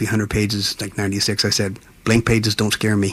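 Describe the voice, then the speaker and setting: This is a man at a medium pitch. He talks at a fairly quick pace. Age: 60s. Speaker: singer-songwriter and author. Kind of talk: casual interview chat. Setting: radio studio. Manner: animated.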